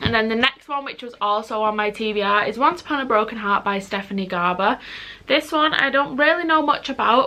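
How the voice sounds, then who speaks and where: A woman with a Mancunian accent speaks at a fairly quick pace and fairly high pitch. Her tone is bright and sharp, with ordinary pitch variation. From Manchester, northern England. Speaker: book youtuber. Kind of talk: casual vlog talk. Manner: fast.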